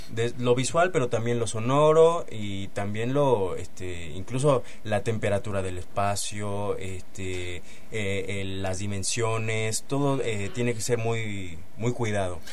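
A man with a fairly low pitch speaks at a very slow pace, using ordinary pitch variation. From Mexico. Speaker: theatre actor. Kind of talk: radio interview. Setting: radio studio. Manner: halting, many fillers.

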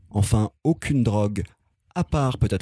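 On a very clean recording with a silent background and a dry, close sound with no echo, a man speaks in a dark, mellow, somewhat breathy tone with lively intonation. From France, city estate. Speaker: podcast columnist. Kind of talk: scripted narration; casual chat.

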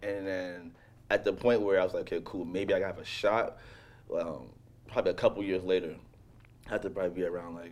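A man speaks with a New York accent. His pace is fairly quick. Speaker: professional BMX athlete. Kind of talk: casual interview chat.

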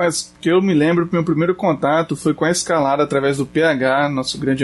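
Music plays in the background as a man talks with hardly any pauses. His pitch is fairly high and his loudness very even. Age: 30s. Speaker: shop owner and outdoor sports enthusiast. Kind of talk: casual chat.

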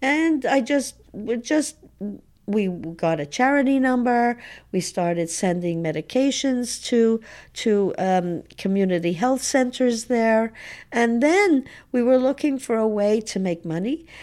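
A woman with a Montreal accent speaks fairly slowly with a fairly high pitch and lively intonation, on a very clean recording with a silent background. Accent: Montreal English (Canadian). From Montreal, Quebec. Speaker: activist. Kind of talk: interview. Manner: halting.

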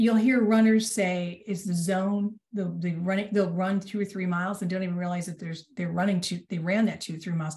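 Her voice is somewhat breathy, a woman's dark, mellow tone. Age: 60s. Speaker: executive coach. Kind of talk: casual chat.

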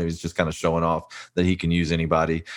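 In a very clean recording with a silent background, a man with a slight Texas accent speaks at a very deep, low pitch and a very fast pace. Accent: slight Texas twang. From South Texas. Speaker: pastor and author. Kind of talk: interview.

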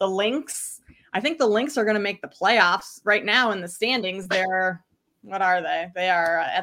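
With a slight Midwestern US accent, a woman speaks at a moderate pace in a medium pitch with a bright, sharp tone. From Minnesota, US Midwest. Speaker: sports bettor, guest analyst. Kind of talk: casual interview chat.

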